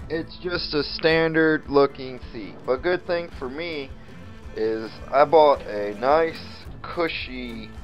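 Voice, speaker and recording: A man at a very slow pace with ordinary pitch variation, faint music in the background. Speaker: hobbyist vlogger. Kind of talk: casual vlog chat. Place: garage. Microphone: phone near.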